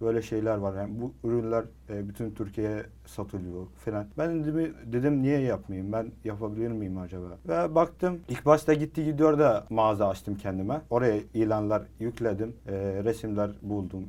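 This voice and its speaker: With an Arabic accent, a man speaks at a moderate pace and medium pitch. His tone is dark and mellow, and his intonation is lively. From Syria. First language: Arabic (speaking Turkish). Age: 20s. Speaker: online seller. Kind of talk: interview. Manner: halting.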